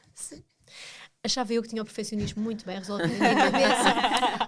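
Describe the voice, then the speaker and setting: This is a woman with a European Portuguese accent. She speaks at a very fast pace. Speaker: podcast co-host. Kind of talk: casual chat.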